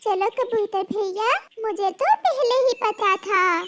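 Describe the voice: A woman's squeaky, cartoonish character voice at an extremely high pitch, with ordinary pitch variation and a fairly slow pace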